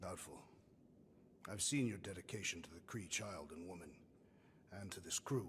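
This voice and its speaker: A man's put-on character voice, very deep and low in pitch, at a moderate pace with long, frequent pauses and clear background noise. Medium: video game. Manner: blunt, solemn, literal.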